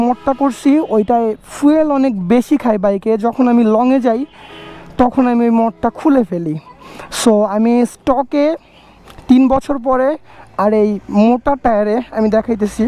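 Faint music plays in the background behind a dry sound that has no echo. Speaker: motorbike vlogger. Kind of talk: casual vlog chat. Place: motorbike. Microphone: helmet.

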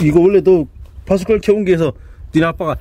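A man with a high voice talks at a fairly quick pace, the sound dry with no echo and a light background noise. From Chungcheong, South Korea. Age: 30s. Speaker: young farmer. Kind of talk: casual farm machinery review interview. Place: farm. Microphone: camera far.

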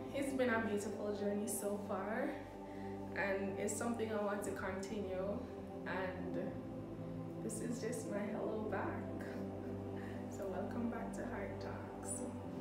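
A woman speaks at a fairly slow pace with long, frequent pauses. Clear music plays in the background, and room echo can be heard. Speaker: content creator. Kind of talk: casual vlog chat. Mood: warm, reflective. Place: kitchen. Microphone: phone near.

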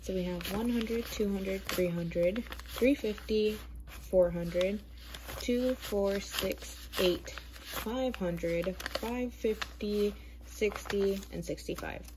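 A woman's very slow delivery is heard over noticeable noise in the background. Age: 20s. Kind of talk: casual budgeting vlog talk to camera.

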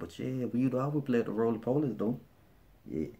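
Here a man speaks with an Alabama accent in a relaxed tone. His voice has a dark, mellow tone and ordinary pitch variation. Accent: Southern US, Alabama. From Birmingham, Alabama. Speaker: vlogger. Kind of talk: casual talk to camera. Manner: relaxed, conversational. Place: home room. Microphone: phone near.

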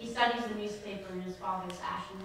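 There is noticeable background noise and strong room echo. A woman speaks at a moderate pace. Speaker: poet. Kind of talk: poem performed, monologue-style reading aloud. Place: hall.

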